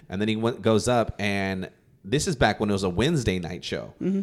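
This man has a normal speaking voice at a medium pitch and a fairly quick pace. The recording is very clean with a silent background. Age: 30s. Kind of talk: casual chat.

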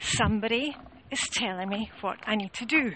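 With a Scottish accent, a woman speaks in a fairly high pitch with lively intonation against noticeable background noise. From Scotland. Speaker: home organising coach. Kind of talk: casual vlog monologue. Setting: outdoors, walking along a road.

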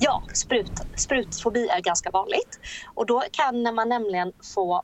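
A woman talks at a very slow pace with a fairly high pitch. Her intonation is lively. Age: 30s. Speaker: entrepreneur. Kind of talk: interview.

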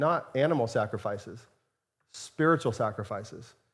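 A somewhat breathy man's voice at a fairly quick pace with ordinary pitch variation, on a very clean recording with a silent background. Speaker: pastor. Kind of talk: sermon with closing prayer. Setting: church with congregation. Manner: warm, conversational.

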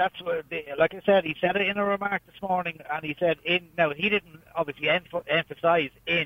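A man with an Irish accent speaks at a high pitch with fairly even intonation and big swings in loudness. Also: moderate pace. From Ireland, County Kildare. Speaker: caller. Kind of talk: phone-in discussion. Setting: phone call.

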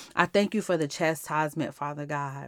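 Very clean and silent in the background, this recording has a dry, close sound with no echo. The woman speaking uses ordinary pitch variation. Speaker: podcast host and devotional teacher. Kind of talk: fervent extemporaneous prayer, pleading and solemn, addressed to God. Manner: impassioned, rhythmic, repeating 'Father God' as a refrain, building intensity; earnest, heartfelt, sometimes soft with thanksgiving.

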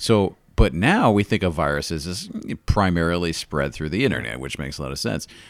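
Over a very clean recording with a silent background, a man speaks fairly quickly in a very deep, low voice with vocal fry. His intonation is lively, and his loudness swings widely. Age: 30s. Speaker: podcast co-host. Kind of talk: casual chat. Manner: animated.

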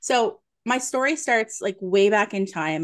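Lively intonation from a woman with a plain, everyday voice at medium pitch, quiet background. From Nova Scotia, Canada. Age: 40s. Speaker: psychic medium. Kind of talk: interview. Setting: video call.

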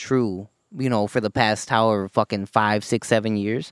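Here is a man with a normal speaking voice, fairly low in pitch, at a moderate pace and with fairly even intonation. The recording is very clean with a silent background, and the sound is dry and close with no echo. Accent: American. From United States. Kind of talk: casual banter. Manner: casual, profane.

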